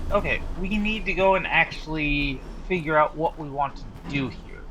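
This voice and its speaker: Lively intonation carries a man's fairly high pitch at a fairly slow pace. Audible room echo and noticeable background noise fill the recording. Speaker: gaming YouTuber. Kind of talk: gameplay commentary. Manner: loud; halting, self-correcting.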